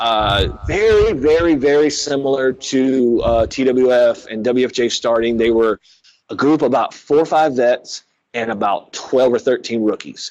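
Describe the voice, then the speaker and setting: A man talks with a Southern accent. His pitch is medium and his pace moderate. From US South. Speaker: pro wrestler. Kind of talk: casual interview chat. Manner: animated storytelling.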